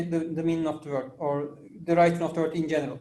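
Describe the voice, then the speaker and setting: Noticeable background noise and audible room echo accompany a man with a Turkish accent talking at a fairly quick pace. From Turkey. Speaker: interviewer, channel host. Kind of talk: interview questions. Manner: halting.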